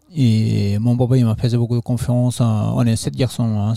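Over noticeable background noise, a man with a Nepalese accent speaks at a fairly slow pace with fairly even intonation. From Nepal, Solukhumbu (Everest region). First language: Sherpa (speaking French). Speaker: trail runner and trek organizer. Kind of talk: interview. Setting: festival. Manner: halting.

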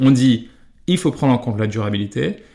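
This man's voice sits at a medium pitch. He keeps a moderate pace and fairly even intonation. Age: 30s. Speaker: fashion brand co-founder. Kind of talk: interview. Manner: hesitant, many fillers and repetitions.

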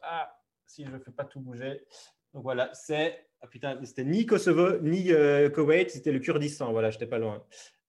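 A man with a fairly high pitch, a normal speaking voice and ordinary pitch variation. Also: fairly slow pace. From Belgium, Liège region. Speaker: travel photographer. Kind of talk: interview.

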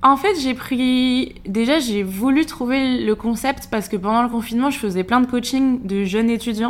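The woman has an unremarkable speaking voice at a fairly high pitch. She speaks fairly slowly with ordinary pitch variation. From western France, Maine-et-Loire. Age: 20s. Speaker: entrepreneur and influencer. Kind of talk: casual interview.

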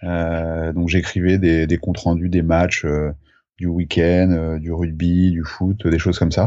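Speaking very slowly, a man with a very deep, low pitch keeps a monotone, flat intonation. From France, Charente. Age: 30s. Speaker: photographer. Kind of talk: interview. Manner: halting, many fillers.

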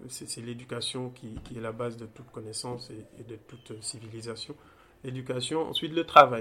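Man at a medium pitch, fairly even intonation and a moderate pace. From Senegal, Thiès region. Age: young. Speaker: data engineer. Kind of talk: interview. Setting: in-person, Dakar. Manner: halting, many repetitions and fillers.

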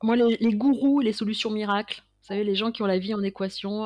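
A woman's medium-pitched, unremarkable speaking voice with fairly even intonation and a dry, close sound free of echo. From Paris suburbs, France. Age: 50s. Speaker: creativity consultant and painter. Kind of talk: interview.

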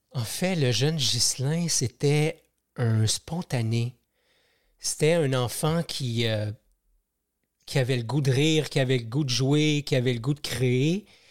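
A man's very slow speech with long, frequent pauses, ordinary pitch variation and very even loudness, on a very clean recording with a silent background. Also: medium pitch for a man. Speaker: podcast host and personal growth movement founder. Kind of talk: interview. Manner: hesitant, many repetitions.

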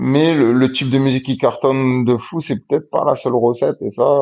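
A man talks at a moderate pace with medium pitch and fairly even intonation. His is an unremarkable speaking voice. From Marseille, southern France. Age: 30s. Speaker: rapper. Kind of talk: casual interview chat.

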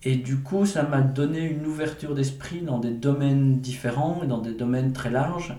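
A man with a medium pitch and ordinary pitch variation talks at a moderate pace, with audible room echo and noticeable background noise. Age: 40s. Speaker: entrepreneur and engineer. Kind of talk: interview. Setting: manor house. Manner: halting.

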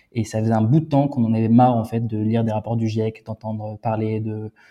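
The speaker is male. His voice carries a dark, mellow tone. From France/Germany. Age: 30s. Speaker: startup founder and CEO. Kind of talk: interview.

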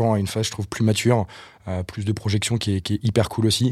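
In a very clean recording with a silent background, a man with a fairly low pitch speaks at a very fast pace in a monotone, flat intonation. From Brittany, France. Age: 30s. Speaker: marketing agency co-founder. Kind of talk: podcast interview. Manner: halting, many repetitions.

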